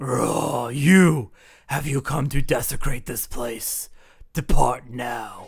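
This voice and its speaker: A man puts on a character voice, speaking at a medium pitch and a very slow pace. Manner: stern, commanding.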